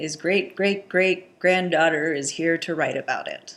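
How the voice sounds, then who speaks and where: A woman speaks in an ordinary speaking voice, fairly low-pitched, with an American accent. Her pace is moderate, and the recording is very clean with a silent background. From United States. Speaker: YouTuber. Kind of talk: comedic monologue.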